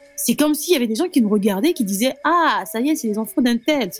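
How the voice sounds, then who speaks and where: Music plays behind a woman with a high-pitched voice. Her intonation is lively and her pace fairly quick. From Republic of the Congo, Brazzaville. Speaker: interviewee sharing life story. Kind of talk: personal testimony interview. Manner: hesitant with fillers.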